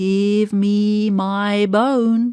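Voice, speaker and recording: In a put-on character voice, the speaker delivers every line with monotone, flat intonation. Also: woman. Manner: spooky.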